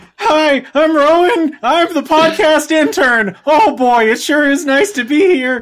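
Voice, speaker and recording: A high-pitched put-on character voice moves at a fairly slow pace with hardly any pauses. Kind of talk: chirpy, overly enthusiastic. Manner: funny put-on voice.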